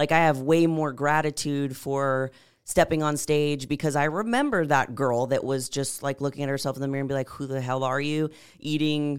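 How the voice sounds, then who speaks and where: A woman with an American accent speaks at a moderate pace in a very deep, low pitch. The recording is very clean, with a silent background. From San Antonio, Texas. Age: 20s. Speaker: bodybuilder and fitness coach. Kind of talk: casual chat.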